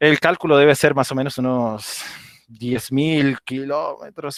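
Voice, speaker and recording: This man speaks at a medium pitch. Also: dry, close sound with no echo. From Venezuela, Andean region (Rubio, Táchira). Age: 30s. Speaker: language teacher. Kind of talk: online presentation. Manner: casual, with fillers.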